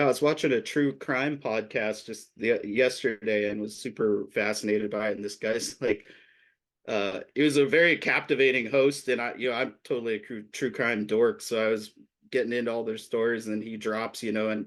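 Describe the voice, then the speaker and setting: A man with an American accent and a plain, everyday voice, medium in pitch, fairly even in intonation, at a moderate pace against a quiet background. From Nevada. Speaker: musician. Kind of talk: casual chat.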